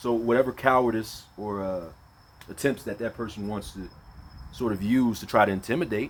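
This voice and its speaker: A man talks at medium pitch. His pitch varies in an ordinary way. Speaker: vlogger. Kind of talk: casual monologue. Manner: loud; casual, halting.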